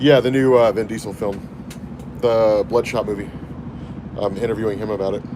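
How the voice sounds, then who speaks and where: A man speaks at a fairly quick pace in a medium-pitched, monotone, flat voice. He takes long, frequent pauses as music plays in the background. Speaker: comics YouTuber. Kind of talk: livestream chat. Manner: casual, conversational.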